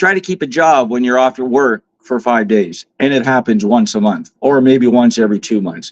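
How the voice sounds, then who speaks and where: A normal speaking voice talks at a moderate pace with lively intonation and hardly any pauses. The sound is dry and close, with no echo. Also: man, medium pitch for a man. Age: 50s. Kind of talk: interview. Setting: live online stream.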